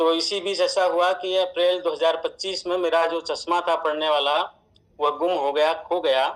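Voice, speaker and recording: A man's high voice with fairly even intonation. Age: 60s. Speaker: product user sharing testimonial in distributor meeting. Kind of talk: testimony. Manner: formal.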